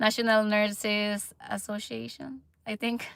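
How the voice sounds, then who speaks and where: On a very clean recording with a silent background, the voice has a bright, sharp tone and a Filipino accent. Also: woman. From Philippines. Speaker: nurse and vlogger. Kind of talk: livestream chat. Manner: halting.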